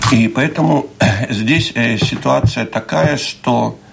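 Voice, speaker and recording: A man speaks against noticeable background noise. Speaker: housing management association board member. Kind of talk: radio interview. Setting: studio.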